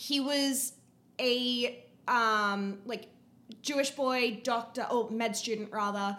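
A woman in an Australian accent speaks at a very slow pace. Her fairly high voice has a bright, sharp tone and fairly even intonation. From Queensland, Australia. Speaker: podcast guest, host's friend. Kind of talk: casual chat.

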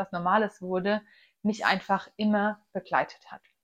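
A woman speaks at a very slow pace. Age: 20s. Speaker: nutrition coach and podcast host. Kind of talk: solo podcast monologue.

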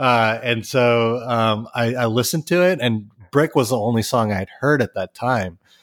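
A man with an American accent, a normal speaking voice at medium pitch, fairly slow pace and ordinary pitch variation, dry, close sound with no echo in a very clean recording with a silent background. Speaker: musician and record label owner. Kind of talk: casual interview chat.

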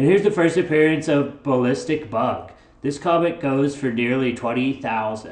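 Putting on a character voice, a man sounds nasal and fairly high-pitched, with lively intonation at a moderate pace.

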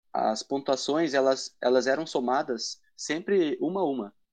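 A man with an ordinary speaking voice talks at a fairly slow pace and medium pitch. Ordinary pitch variation comes through against a quiet background. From Brazil, Paraná (Matinhos). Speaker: church quiz project creator. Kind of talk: interview.

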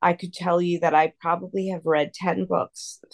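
In a dry, close sound with no echo and a quiet background, a woman with an unremarkable speaking voice talks fairly slowly at a fairly low pitch, with fairly even intonation. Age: 50s. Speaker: lawyer and tutoring business founder. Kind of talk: interview.

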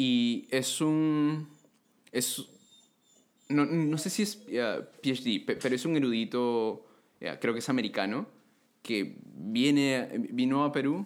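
A man talks at a very slow pace, his pitch fairly high and his intonation lively. Long pauses come often. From Peru. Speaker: theology student. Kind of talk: casual chat.

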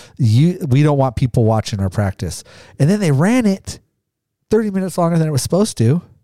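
A man with an American accent talks at a very fast pace, his fairly high pitch making very wide swings. His tone is dark and mellow, and his loudness stays very even. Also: dry, close sound with no echo. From Idaho, Caldwell. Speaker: podcast co-host. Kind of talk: casual chat.

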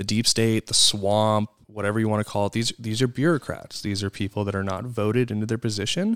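A man with an American accent has a normal speaking voice, fairly low in pitch, with fairly even intonation, a fairly quick pace and hardly any pauses. The recording is very clean and silent in the background, with a dry, close sound and no echo. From US Midwest. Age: 30s. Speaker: podcast co-host. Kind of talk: casual chat. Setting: studio.

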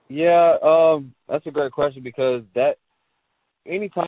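A man speaks fairly slowly in a normal speaking voice with ordinary pitch variation. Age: 20s. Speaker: trader and coach. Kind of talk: interview.

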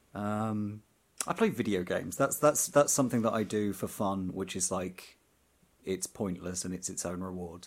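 A man speaks in an unremarkable speaking voice at a moderate pace. His pitch is fairly low, with ordinary pitch variation. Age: 30s. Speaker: camera assistant. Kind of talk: casual chat. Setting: music studio.

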